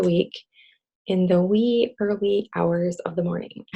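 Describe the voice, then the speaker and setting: A woman speaks quietly at a medium pitch, with ordinary pitch variation. Her tone is dark and mellow, and her voice is somewhat breathy. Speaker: direct sales team leader. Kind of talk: motivational team call. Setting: video call. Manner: quiet, subdued; halting, with fillers.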